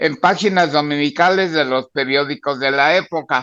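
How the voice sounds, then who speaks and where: Against a quiet background, the speaker has a bright, sharp tone, ordinary pitch variation, and a fairly slow pace. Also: man. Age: 90s. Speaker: comic book artist. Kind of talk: podcast interview.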